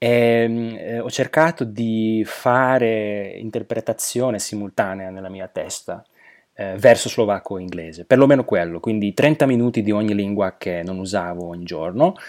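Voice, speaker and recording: With big swings in loudness, a man speaks at a moderate pace in a fairly low pitch with ordinary pitch variation, on a very clean recording with a silent background. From Slovakia. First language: Slovak (speaking Italian). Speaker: polyglot, translator and interpreter. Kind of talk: interview. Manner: halting, with fillers.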